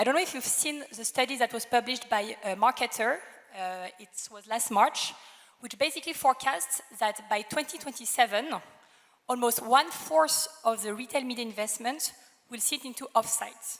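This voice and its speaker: A woman speaks with a French accent. Her pitch is fairly high. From France. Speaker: retail media executive. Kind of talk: panel debate. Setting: stage with audience.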